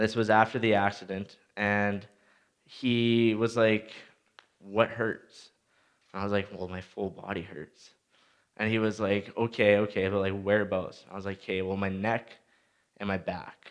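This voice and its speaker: A man's fairly low voice with a Canadian accent, monotone, flat intonation, a fairly slow pace, and long, frequent pauses. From Saskatchewan, Canada. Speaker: motivational speaker, former junior hockey player. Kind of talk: motivational talk. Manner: casual, storytelling.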